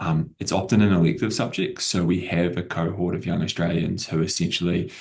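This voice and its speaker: Speaking at a fairly quick pace, the voice has a New Zealand accent and fairly even intonation. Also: man, very deep, low pitch for a man. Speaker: edtech company CEO. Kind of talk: panel discussion.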